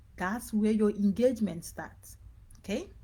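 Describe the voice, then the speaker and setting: Her voice is somewhat breathy, with a dark, mellow tone. The woman speaks at a fairly slow pace and a fairly high pitch. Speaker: business coach. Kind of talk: live online training. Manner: casual, repetitive.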